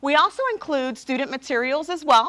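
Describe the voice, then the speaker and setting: A bright, sharp voice speaks in a New York accent. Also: woman. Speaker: publisher sales representative. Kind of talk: sales presentation. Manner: fast.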